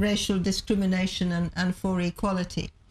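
A woman speaks at a moderate pace. Her voice is somewhat breathy. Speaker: interview guest. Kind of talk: interview answer. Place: studio.

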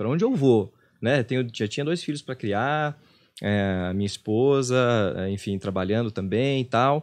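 A man talks fairly quickly, his medium pitch varying in an ordinary way. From interior of São Paulo state, Brazil (Presidente Venceslau); São Paulo state, Brazil. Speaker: meditation teacher and former actor; meditation teacher, former actor. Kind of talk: casual interview. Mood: reflective, personal. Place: studio. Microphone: studio mic.

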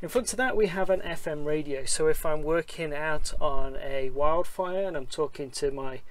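Moderate pace and fairly even intonation, with light background noise. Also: man. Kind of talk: tutorial. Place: plane. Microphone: phone near.

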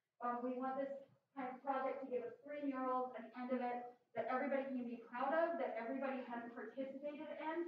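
A woman's high-pitched voice at a fairly quick pace with fairly even intonation, strong room echo and light background noise. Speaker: arts organizer. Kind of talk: event announcements. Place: hall.

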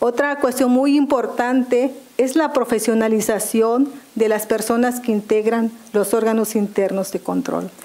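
A woman talks at a fairly slow pace. Her fairly high voice holds a fairly even intonation. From Mexico, Maya zone of Quintana Roo. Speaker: public official, job candidate; candidate. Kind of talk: formal job interview before legislative committee. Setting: legislative committee hearing. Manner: formal. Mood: formal, composed. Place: meeting room. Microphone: podium.

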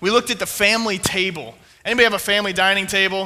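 A man's raised, projected voice. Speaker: pastor. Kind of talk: sermon. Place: church.

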